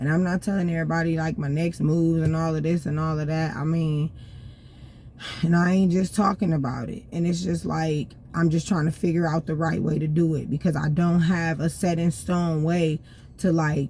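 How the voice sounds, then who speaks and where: A woman talks at a moderate pace in a fairly low, somewhat breathy voice with a dark, mellow tone and monotone, flat intonation. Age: 30s. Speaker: vlogger. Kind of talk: casual monologue. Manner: unscripted, rambling, with fillers.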